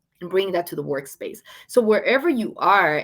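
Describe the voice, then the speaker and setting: Speaking with a Venezuelan accent, a woman uses lively intonation at a moderate pace on a very clean recording with a silent background. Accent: Venezuelan Spanish accent, noticeable. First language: Spanish. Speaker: storytelling author and speaker. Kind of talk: live stream interview. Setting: livestream. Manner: animated.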